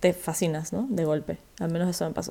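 Woman's voice at a moderate pace with fairly even intonation. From Ecuador. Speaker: writer. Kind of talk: casual chat.

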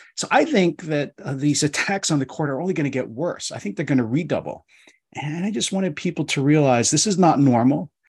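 Somewhat breathy and at a fairly quick pace, the speaker has an American accent and ordinary pitch variation over a quiet background. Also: man. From US Northeast, Philadelphia. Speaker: law professor. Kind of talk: casual interview discussion.

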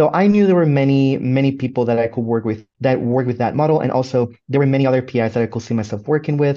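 The man's voice sits at a medium pitch with a dark, mellow tone. He talks at a very fast pace. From Puerto Rico. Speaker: graduate student virologist. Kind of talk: interview. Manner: hesitant, many fillers.

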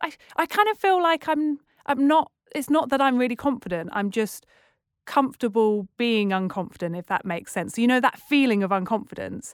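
A woman's high-pitched voice with a British accent, dry and close with no echo, on a very clean recording with a silent background. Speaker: TEDx curator and presenter. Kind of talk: casual interview chat. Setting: studio. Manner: fast talker.

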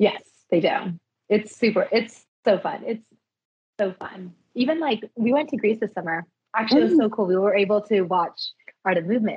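Her voice sits fairly high and a bit breathy, moving at a moderate pace with lively intonation broken by long, frequent pauses. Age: 30s. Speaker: parkour practitioner. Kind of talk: casual chat.

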